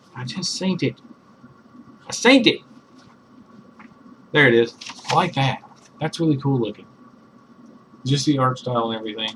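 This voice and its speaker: A man talks at a fairly quick pace, with long, frequent pauses, a medium pitch and ordinary pitch variation. Noticeable background noise runs under his voice. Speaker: comic book reviewer. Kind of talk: casual talk to camera.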